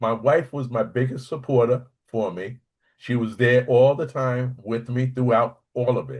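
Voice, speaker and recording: Against a quiet background, a man with an unremarkable speaking voice talks at medium pitch and a fairly slow pace. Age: 60s. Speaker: prostate cancer survivor, military veteran. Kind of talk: panel discussion testimony.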